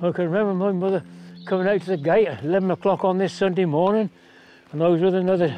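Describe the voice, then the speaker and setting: A man speaks at a very fast pace, his pitch high for a man and his intonation fairly even. Music plays in the background. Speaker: grandfather recalling wartime childhood. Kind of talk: documentary interview answer.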